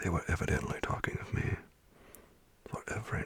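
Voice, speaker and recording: Someone whispers in a calm tone at a moderate pace. Noticeable background noise is present. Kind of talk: ASMR bedtime story reading of a classic gothic novel. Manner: soft, calm, relaxing.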